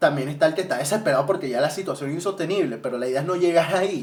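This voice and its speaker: Talking at a very fast pace with a Venezuelan accent, a man with a fairly high voice sounds animated, with ordinary pitch variation. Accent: Venezuelan accent slipping out. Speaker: vlogger, student. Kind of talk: casual monologue. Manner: halting, repeats words.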